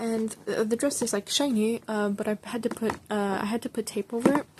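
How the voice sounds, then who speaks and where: Through noticeable background noise comes a woman's voice at a fairly high pitch. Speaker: hobby artist showing sketchbook. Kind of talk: casual show-and-tell.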